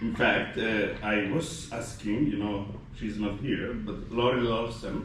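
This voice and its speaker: A man talks at a fairly slow pace with medium pitch and ordinary pitch variation. Audible room echo and noticeable background noise surround his voice. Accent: Somali. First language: Somali. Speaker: gastroenterology faculty physician. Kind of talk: ceremony speech. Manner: halting with many fillers.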